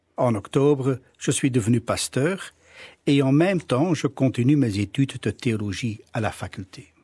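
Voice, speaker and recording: Somewhat breathy and dark, mellow in tone, a man speaks at medium pitch and a fairly slow pace with lively intonation, the sound dry and close with no echo on a very clean recording with a silent background. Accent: Flemish. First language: Dutch (speaking French). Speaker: pastor. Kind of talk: radio interview.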